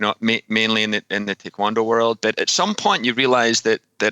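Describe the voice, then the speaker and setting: Bright, sharp, monotone speech in a Scottish accent at a fairly quick pace, dry and close with no echo, on a very clean recording with a silent background. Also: man. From Scotland. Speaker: fitness coach and author. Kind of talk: podcast interview.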